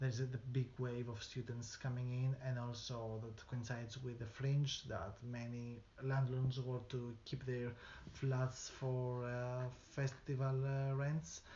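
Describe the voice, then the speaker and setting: This man talks fairly slowly at a medium pitch, his intonation monotone and flat. Background noise is noticeable. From outside the UK. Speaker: local resident. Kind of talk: interview testimony. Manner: halting.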